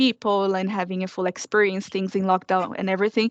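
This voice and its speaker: Against a quiet background, a woman with a Portuguese accent speaks at a medium pitch in a monotone, flat intonation, the sound dry and close with no echo. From Brazil. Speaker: former student. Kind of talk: panel testimony.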